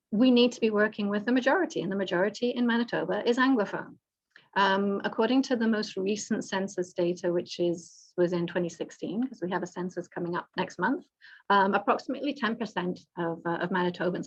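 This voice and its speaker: Talking at a very fast pace, a woman has a British accent. Her medium-pitched voice is somewhat breathy. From Britain. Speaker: government executive director. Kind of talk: panel presentation. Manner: some stammering and repetition.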